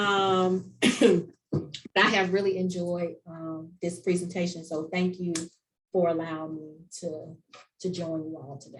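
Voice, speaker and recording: Speaking very slowly with a Southern US accent, a woman uses a fairly low pitch and fairly even intonation while her loudness swings widely. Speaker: conference presenter, college staff. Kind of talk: conference presentation.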